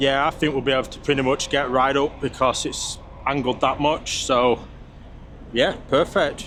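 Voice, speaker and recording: Noticeable background noise is present throughout. Against it, a man talks at a moderate pace. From UK. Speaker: truck driver. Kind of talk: casual talk to camera.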